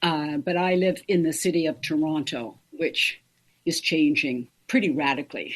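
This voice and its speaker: With very even loudness, a woman speaks at a very deep, low pitch. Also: ordinary pitch variation, moderate pace. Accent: Canadian. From northern Ontario, Canada. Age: 70s. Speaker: makeup artist and hair stylist. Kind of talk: interview conversation. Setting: podcast interview.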